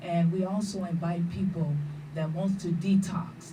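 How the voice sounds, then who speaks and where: Amid noticeable background noise and audible room echo, a woman with an American accent speaks at a moderate pace in a fairly low voice. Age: 60s. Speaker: vegan cook and health educator. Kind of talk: radio interview.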